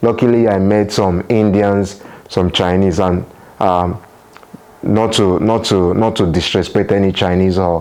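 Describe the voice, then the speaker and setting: A man speaks at a moderate pace with a Nigerian accent and a fairly low pitch. Noticeable background noise runs behind him. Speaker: international student and vlogger. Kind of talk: vlog talk to camera. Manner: hesitant, repeats words.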